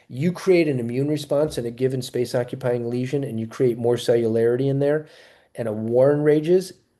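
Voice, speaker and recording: A man's dark, mellow tone at a fairly quick pace. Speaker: naturopathic oncologist. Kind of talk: webinar lecture. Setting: live video webinar. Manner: fast; animated.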